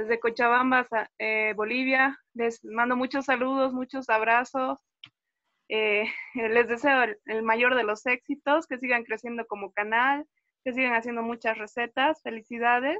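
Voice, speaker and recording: Pitched high, a woman speaks at a fairly slow pace with monotone, flat intonation. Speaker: fan, viewer. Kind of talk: casual chat.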